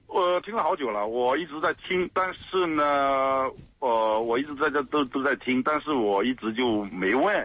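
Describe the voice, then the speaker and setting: This is a normal speaking voice. Its intonation is lively. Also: man. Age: 40s. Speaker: radio caller. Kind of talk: call-in conversation about marriage problems.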